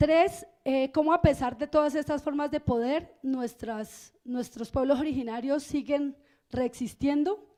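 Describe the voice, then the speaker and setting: A woman speaks fairly slowly in a high pitch with a dark, mellow tone and ordinary pitch variation. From Colombia, Cauca. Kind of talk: keynote lecture. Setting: stage with audience.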